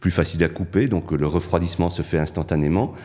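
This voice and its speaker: Dark and mellow in tone, a man's voice sits at a very deep, low pitch with vocal fry. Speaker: consumer product testing coordinator. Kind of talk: interview. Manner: hesitant, many fillers.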